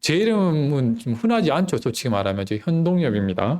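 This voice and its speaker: Very wide pitch swings mark a man's speech at a moderate pace, recorded very cleanly against a silent background. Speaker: preacher. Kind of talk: sermon. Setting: church.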